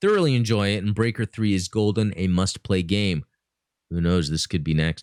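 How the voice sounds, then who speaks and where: In an animated tone, a man talks at a fairly low pitch and a moderate pace, with ordinary pitch variation and very even loudness, recorded with a dry, close sound and no echo. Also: very clean recording, silent background. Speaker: podcast host. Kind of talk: casual chat.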